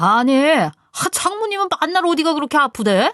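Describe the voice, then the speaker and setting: A woman shouting in a put-on character voice, high-pitched, at a moderate pace, with a dry, close sound and no echo. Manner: suddenly shouting, irritated.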